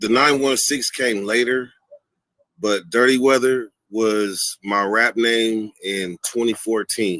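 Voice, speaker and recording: A man with an American accent, medium pitch and ordinary pitch variation, an unremarkable speaking voice, recorded dry and close with no echo. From Sacramento, California. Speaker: YouTuber, former prisoner. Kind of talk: interview on live stream.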